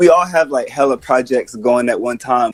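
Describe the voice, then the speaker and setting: A man speaks in a normal speaking voice at a fairly quick pace. His intonation is fairly even, and the sound is dry and close with no echo. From Atlanta, US South. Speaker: rapper and music producer. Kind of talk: interview.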